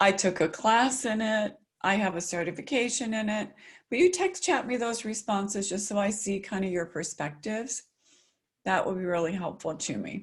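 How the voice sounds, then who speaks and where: A somewhat breathy woman with an American accent, medium pitch, ordinary pitch variation and a moderate pace. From US South, South Carolina. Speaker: agile consultant, keynote speaker. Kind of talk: webinar presentation. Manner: articulate.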